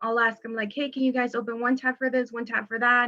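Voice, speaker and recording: At a fairly quick pace, a woman speaks in a high pitch with a bright, sharp tone. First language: Spanish. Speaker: teacher. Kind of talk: interview testimony. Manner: casual, many fillers.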